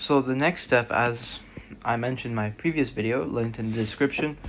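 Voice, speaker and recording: This man has a normal speaking voice, medium in pitch with ordinary pitch variation, delivered at a moderate pace. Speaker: maths tutor. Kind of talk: tutorial.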